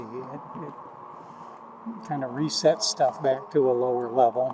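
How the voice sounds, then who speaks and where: A man's medium-pitched voice, fairly even in intonation, with noticeable background noise. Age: 60s. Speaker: war veteran. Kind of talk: casual vlog monologue. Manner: halting, many fillers.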